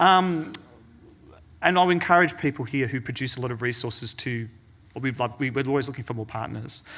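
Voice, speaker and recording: At a very fast pace, a man with a bright, sharp tone and medium pitch speaks on a very clean recording with a silent background. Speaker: conference presenter. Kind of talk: conference talk. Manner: hesitant, many fillers.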